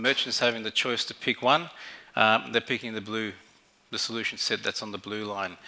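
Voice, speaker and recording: A man with an Australian accent speaks at a fairly quick pace in a bright, sharp tone. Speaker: fintech executive, conference speaker. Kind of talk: conference keynote presentation. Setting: stage with audience. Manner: halting, many fillers.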